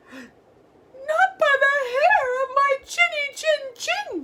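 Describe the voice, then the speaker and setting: This is a put-on character voice, squeaky and extremely high in pitch. It moves at a very slow pace. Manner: frightened, defiant.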